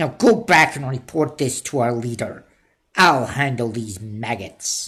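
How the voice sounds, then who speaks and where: A put-on character voice, low-to-middle in pitch, at a fairly slow pace. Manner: commanding, menacing.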